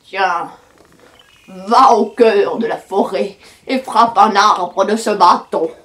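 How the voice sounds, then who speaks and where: A put-on character voice, fairly high in pitch, moves along at a very slow pace. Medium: read story. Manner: slow, knowing.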